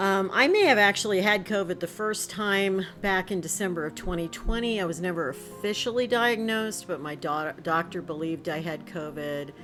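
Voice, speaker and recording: With music in the background, a woman speaks at a moderate pace and medium pitch. She has ordinary pitch variation and hardly any pauses. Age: 60s. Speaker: retired college instructor and counselor. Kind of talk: casual talk to camera.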